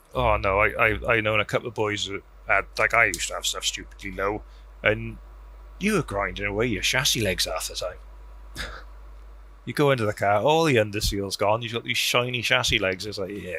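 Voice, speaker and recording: With a South Wales Valleys accent, a man talks at a fairly quick pace, broken by long, frequent pauses. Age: 40s. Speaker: car enthusiast. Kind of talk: casual chat.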